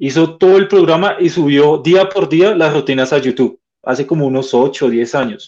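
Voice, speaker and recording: A plain, everyday voice from a man, fairly high in pitch, with ordinary pitch variation at a moderate pace. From Colombia. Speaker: basketball club representative. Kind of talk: interview.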